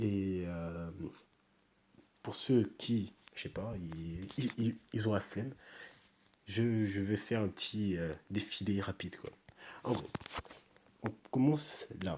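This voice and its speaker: Soft-spoken, a man talks at a very slow pace with long, frequent pauses. His pitch is fairly low, with ordinary variation. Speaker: youtuber. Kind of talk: casual review. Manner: halting.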